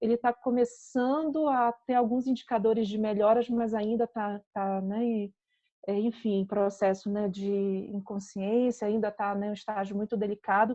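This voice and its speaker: A woman speaks in a Pará accent at a fairly slow pace. Her pitch is fairly high and her intonation fairly even. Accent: Pará (northern Brazilian). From northern Brazil, Belém do Pará. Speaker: psychologist. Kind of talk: lecture.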